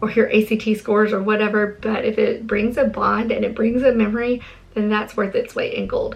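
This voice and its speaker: A woman's fairly high voice, with music in the background. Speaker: homeschooling mom vlogger. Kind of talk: casual vlog talk to camera.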